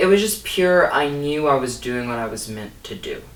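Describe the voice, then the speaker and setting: A man with a fairly high pitch and lively intonation at a moderate pace, amid noticeable background noise and audible room echo. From Louisiana bayou (Cut Off). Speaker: comedian and impressionist. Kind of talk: interview. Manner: halting.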